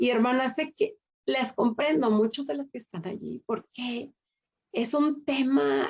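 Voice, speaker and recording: Speaking at a very slow pace, a woman uses a high pitch. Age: 60s. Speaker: women's Bible study teacher. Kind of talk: sermon.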